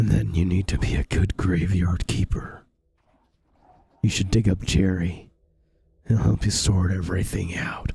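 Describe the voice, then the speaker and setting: A man uses a put-on character voice with a very deep, low pitch. He leaves long, frequent pauses. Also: moderate pace. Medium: game stream. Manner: calm, reassuring.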